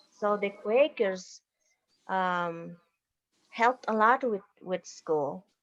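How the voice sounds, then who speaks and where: A woman in a Bolivian accent at a very slow pace, against a quiet background. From Bolivian Altiplano near Lake Titicaca. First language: Aymara. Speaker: university professor and educator. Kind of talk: slide presentation. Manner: halting.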